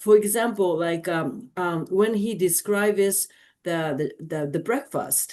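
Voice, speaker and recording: Speaking at a fairly slow pace, a woman with a Japanese accent uses a medium pitch with ordinary variation and big swings in loudness. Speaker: audience member asking a question. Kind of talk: Q&A after a lecture. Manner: halting, many fillers.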